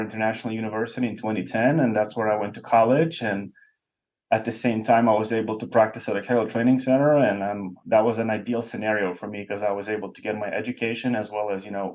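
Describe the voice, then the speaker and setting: Speaking at a very fast pace with a Lithuanian accent, a man delivers his words in a fairly low pitch with fairly even intonation. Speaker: bowling professional, lane technician. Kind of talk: podcast interview. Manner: frequent hesitations.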